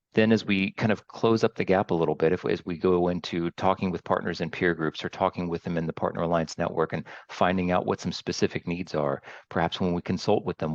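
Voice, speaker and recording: With an American accent, a man speaks very fast in a very deep, low voice with fairly even intonation, recorded dry and close with no echo over a quiet background. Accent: American-sounding. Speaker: training academy director. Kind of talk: interview.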